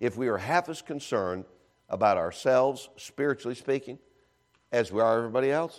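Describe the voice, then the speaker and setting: Recorded very cleanly over a silent background, a man talks at a medium pitch. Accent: American. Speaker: visiting evangelist preacher. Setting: church. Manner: animated, rapid conversational preaching with quick self-deprecating humor; emphatic, with repeated words and frequent 'uh' fillers.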